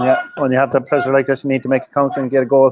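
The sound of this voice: Speaking very fast, a man holds a medium pitch in a monotone, flat delivery.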